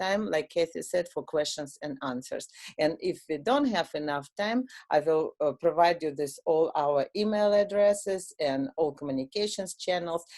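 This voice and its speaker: A woman with a Russian accent talks at a moderate pace in a very deep, low pitch with ordinary variation against a quiet background. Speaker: software product owner. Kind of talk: product demo. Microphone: video call.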